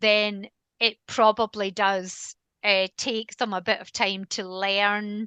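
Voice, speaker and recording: Over a quiet background, a woman with a Scottish accent speaks very slowly in a medium-pitched, bright, sharp voice, her intonation monotone and flat while her loudness swings widely. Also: dry, close sound with no echo. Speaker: canine behaviourist. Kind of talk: interview conversation.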